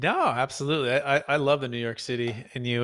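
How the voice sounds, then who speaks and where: The man's tone is bright and sharp. The recording is very clean, with a silent background. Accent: American. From Bay Area, California (Fremont). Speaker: podcast host. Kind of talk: casual interview.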